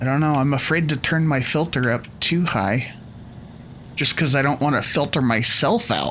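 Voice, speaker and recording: Noticeable background noise accompanies speech delivered at a medium tempo. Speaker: gaming youtuber. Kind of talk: gameplay commentary. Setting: home recording with headphones. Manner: soft-spoken; halting.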